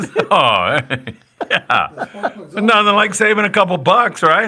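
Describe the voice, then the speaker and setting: Speaking at a very slow pace, the man has a high-pitched voice. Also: ordinary pitch variation, very even loudness. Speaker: fishing show host. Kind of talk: live talk show banter. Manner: casual, joking.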